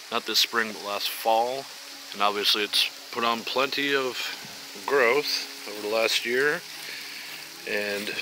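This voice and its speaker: A man's fairly even intonation and fairly slow delivery come through over noticeable background noise. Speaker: gardening vlogger. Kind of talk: casual tutorial. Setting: outdoors in garden. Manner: hesitant, many fillers.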